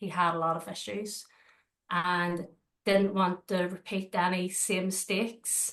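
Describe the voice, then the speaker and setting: With a Northern Irish accent, a woman speaks at a fairly slow pace in a monotone, flat voice. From Northern Ireland, Belfast. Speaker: dog trainer and dog walker. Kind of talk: interview. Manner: hesitant, many fillers.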